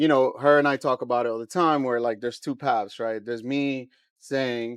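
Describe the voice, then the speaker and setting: A man in a New York accent speaks with fairly even intonation over a quiet background. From New York, Queens. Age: 40s. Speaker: brand co-founder. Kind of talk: podcast interview.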